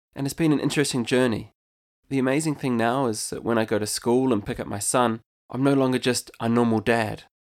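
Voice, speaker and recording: A man speaks at a fairly quick pace with a New Zealand accent, his pitch medium and his intonation fairly even. The recording is very clean, with a silent background. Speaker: podcast host and entrepreneur. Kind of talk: scripted podcast intro, monologue.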